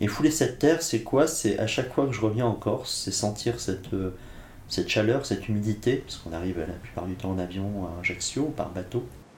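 A man with a fairly low pitch speaks amid audible room echo. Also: lively intonation. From France, Blois (Loire valley), Corsican family. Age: 50s. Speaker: philosopher and writer. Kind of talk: interview conversation. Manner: reflective, some hesitations.

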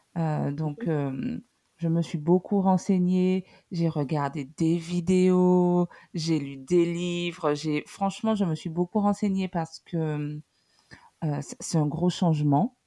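At a very slow pace, a woman talks with a dark, mellow tone, fairly low pitch and fairly even intonation. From Guadeloupe. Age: 30s. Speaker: single mother, civil servant. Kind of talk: personal testimony interview.

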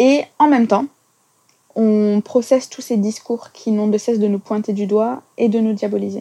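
A woman's fairly high, dark, mellow voice, with fairly even intonation at a fairly slow pace. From France. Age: 30s. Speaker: English teacher. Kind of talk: testimony.

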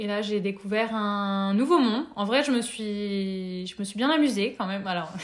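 This is an unremarkable speaking voice with ordinary pitch variation, delivered at a fairly slow pace. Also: woman. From France, Nevers. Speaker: workshop facilitator. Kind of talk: interview.

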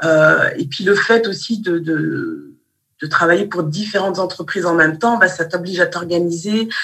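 A woman has an unremarkable speaking voice, fairly low in pitch with ordinary pitch variation. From Malian heritage, raised in France. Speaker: teacher and business consultant. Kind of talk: interview.

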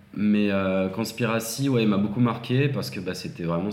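Against noticeable background noise and audible room echo, a man with a fairly low pitch talks at a fairly slow pace. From France, Seine-et-Marne. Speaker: adult content creator. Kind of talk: casual chat.

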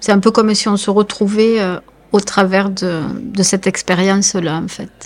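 A woman's medium-pitched voice at a fairly slow pace, with monotone, flat intonation. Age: 40s. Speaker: caregiver, home care worker. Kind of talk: interview testimony. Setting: temporary radio studio at an event.

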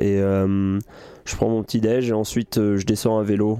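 A man's fairly low voice, dark and mellow in tone, with monotone, flat intonation. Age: 20s. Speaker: professional triathlete. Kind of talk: casual interview. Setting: inside a van.

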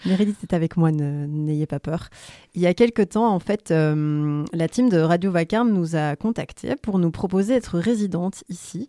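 A woman's normal speaking voice, fairly low in pitch with ordinary pitch variation, at a fairly slow pace, dry and close with no echo, on a very clean recording with a silent background. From Belgium, Brussels. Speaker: podcast host. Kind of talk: casual radio chat. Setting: radio studio.

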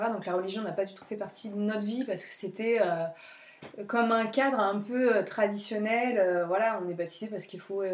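A woman speaks in an ordinary speaking voice at a medium pitch and moderate pace, with fairly even intonation and big swings in loudness. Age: 30s. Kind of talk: casual interview about spirituality.

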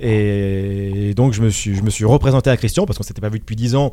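Here is a man with an ordinary speaking voice and a medium pitch. He moves at a fairly quick pace with ordinary pitch variation. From Paris region, France (Hauts-de-Seine). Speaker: football commentator. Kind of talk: interview.

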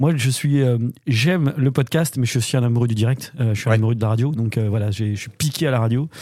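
At a fairly quick pace, this voice comes through with a dark, mellow tone. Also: man, medium pitch for a man, ordinary pitch variation. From western France (Normandy, then Angers). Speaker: business club director, former radio co-host. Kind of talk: casual chat.

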